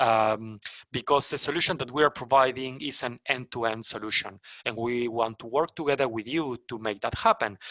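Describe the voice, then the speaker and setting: With a Spanish accent, a man talks at a moderate pace in a bright, sharp tone, recorded with a dry, close sound and no echo. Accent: non-native English, Spanish. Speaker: company trainer for sales partners. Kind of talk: webinar presentation. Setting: online webinar. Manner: halting, many fillers and restarts.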